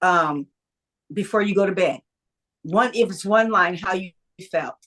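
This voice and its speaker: A plain, everyday voice from a woman, medium in pitch with ordinary variation, at a fairly slow pace. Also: dry, close sound with no echo. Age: 60s. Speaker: creative writer and producer. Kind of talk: interview.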